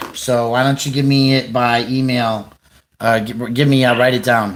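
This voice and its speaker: This is a man with a plain, everyday voice. He talks at a medium pitch and a moderate pace. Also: fairly even intonation. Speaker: livestreamer and activist. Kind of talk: phone call news tip.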